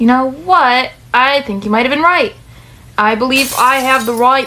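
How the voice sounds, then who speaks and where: A high-pitched, strained put-on character voice comes with a slight New York accent. It moves at a moderate pace. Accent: light New York. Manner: strained, sounds strange.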